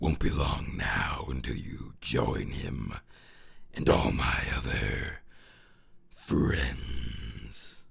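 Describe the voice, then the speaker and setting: A man uses a put-on character voice, raspy and menacing in tone, with a very deep, low pitch. He speaks at a very slow pace with long, frequent pauses. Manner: scary, menacing.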